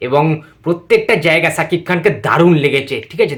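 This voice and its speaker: A man's voice, fairly high in pitch. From West Bengal, India. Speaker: YouTuber film reviewer. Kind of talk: reaction video review. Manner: animated, excited.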